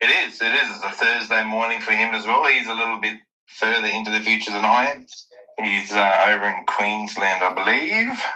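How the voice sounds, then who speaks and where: An Australian accent from a man talking at a fairly quick pace. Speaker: NFT project founder. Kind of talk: casual chat.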